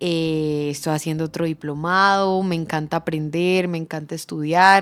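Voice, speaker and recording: A woman speaks at a fairly low pitch in a monotone, flat intonation with an Antioquian accent, recorded very cleanly over a silent background. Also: fairly slow pace. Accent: Colombian paisa Spanish. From Colombia, Medellín (paisa). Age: 20s. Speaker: economist, business association director. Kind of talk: interview. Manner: hesitant fillers.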